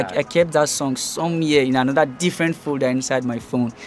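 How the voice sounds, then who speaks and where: Noticeable noise fills the background while a man speaks in a fairly high voice. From Nigeria, Delta State. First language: Ijaw. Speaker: rapper. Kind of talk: casual interview.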